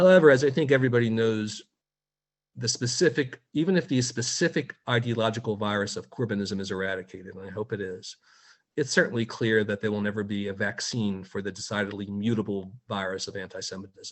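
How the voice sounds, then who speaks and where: Very fast American-accented speech with ordinary pitch variation and big swings in loudness. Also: man, fairly low pitch for a man. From United States. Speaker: media watchdog editor. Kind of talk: webinar talk. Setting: video call.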